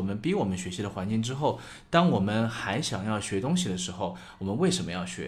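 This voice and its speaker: A man talks at a fairly quick pace in a somewhat breathy voice of medium pitch, his intonation lively, with audible room echo. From China, small city. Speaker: podcast co-host. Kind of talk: casual chat.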